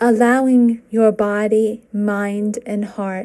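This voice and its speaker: With music in the background, a woman speaks in a gentle, calm tone at a fairly high pitch. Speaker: meditation guide. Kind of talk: guided meditation. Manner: slow, calm, soothing; gentle, unhurried, with long pauses.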